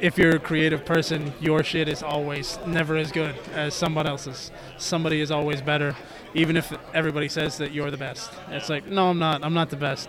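A man's fairly high, monotone, flat voice at a fairly quick pace, with audible room echo and noticeable background noise. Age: 30s. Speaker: wrestler. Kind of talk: casual chat.

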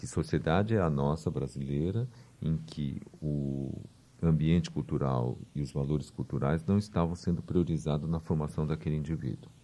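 A man speaks in a very deep, low pitch with a dark, mellow tone. His pace is moderate and his pitch variation ordinary. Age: 50s. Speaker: cultural centre director. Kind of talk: radio interview.

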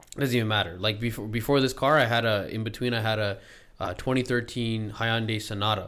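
This man speaks at a very fast pace with a Canadian accent. His pitch is medium and his intonation fairly even. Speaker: podcast host. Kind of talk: casual podcast interview.

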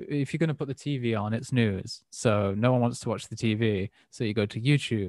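A man speaks at medium pitch with ordinary pitch variation. His pace is fairly quick, with hardly any pauses. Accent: English. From England. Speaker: podcast host. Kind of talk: casual chat. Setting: remote call.

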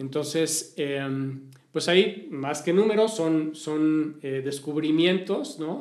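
Speaking very slowly, a man uses a fairly high pitch. His pitch variation is ordinary. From Mexico City. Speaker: social listening agency executive. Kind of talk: interview. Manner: hesitant, many fillers.

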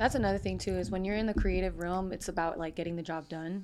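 It is a plain, everyday voice with ordinary pitch variation, captured in a very clean recording with a silent background. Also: woman. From US, Puerto Rican and Dominican family. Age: 20s. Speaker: creative freelancer. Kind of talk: casual chat.

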